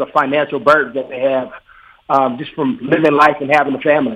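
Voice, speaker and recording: Here is a plain, everyday voice. It moves at a fairly quick pace. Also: man. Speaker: former NFL linebacker, players' union officer. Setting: phone call.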